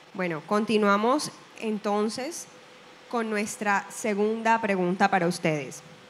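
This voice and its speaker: A woman's medium-pitched voice at a very slow pace, with ordinary pitch variation and light background noise. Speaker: event presenter and moderator. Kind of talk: live event hosting. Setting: stage with audience, live event. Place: stage.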